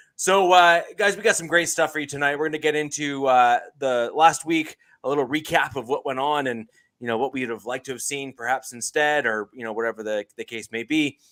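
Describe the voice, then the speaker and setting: Speaking at a fairly quick pace with a Canadian accent, a man has a fairly high pitch and a bright, sharp tone, with big swings in loudness. The recording is very clean, with a silent background and a dry, close sound with no echo. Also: ordinary pitch variation. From Canada. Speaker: podcast host. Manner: casual, uses filler "uh" often.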